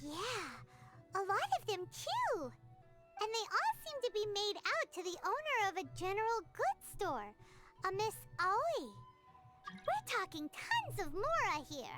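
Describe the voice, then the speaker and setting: An extremely high-pitched, put-on character voice at a fairly slow pace, with clear music in the background. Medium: video game.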